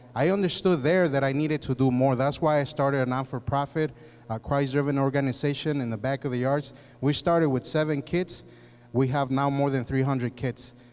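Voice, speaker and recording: A man with a Spanish accent, fairly high pitch, fairly even intonation and a fairly quick pace. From Mexico, then Chicago from age nine. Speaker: political candidate, former police officer. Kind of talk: candidate forum speech. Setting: community forum with audience. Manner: halting, many fillers.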